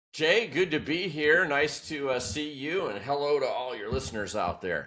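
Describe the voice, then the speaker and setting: Bright and sharp in tone, a man with a fairly high pitch and vocal fry talks at a moderate pace with lively intonation in a very clean recording with a silent background. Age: 60s. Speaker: business executive and author. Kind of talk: podcast interview. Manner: animated.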